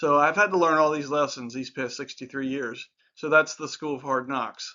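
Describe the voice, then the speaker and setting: A man with a normal speaking voice talks at a fairly quick pace, his pitch fairly high and his intonation fairly even. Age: 60s. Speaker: life advice YouTuber. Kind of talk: casual talk-to-camera advice monologue. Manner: conversational with filler words.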